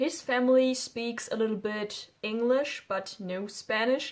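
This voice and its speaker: Speaking fairly slowly with a German accent, a woman keeps a fairly high pitch and fairly even intonation. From Germany. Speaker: YouTuber. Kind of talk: casual vlog talk. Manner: informal, hesitant.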